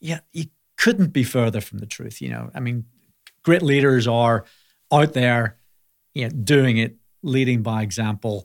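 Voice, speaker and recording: In a Belfast accent, a man speaks at medium pitch and a fairly slow pace, with long, frequent pauses and big swings in loudness. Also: ordinary pitch variation. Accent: Belfast Northern Irish. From Northern Ireland, Belfast. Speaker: healthcare company CEO. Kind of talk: interview conversation.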